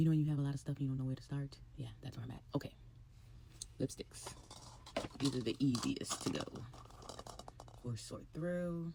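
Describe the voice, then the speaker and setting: A woman speaks quietly at a very deep, low pitch and a fairly quick pace. Her intonation stays fairly even, broken by long, frequent pauses. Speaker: beauty and fashion vlogger. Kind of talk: casual vlog monologue. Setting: at home, early morning. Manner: quiet, talking low.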